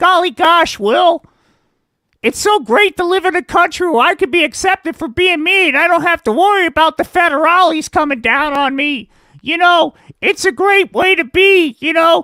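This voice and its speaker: A man speaks at a moderate pace in a cartoonish character voice, his pitch extremely high. His voice is raised and projected. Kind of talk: puppet comedy voice. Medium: puppet show. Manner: gee-whiz wholesome chirpiness.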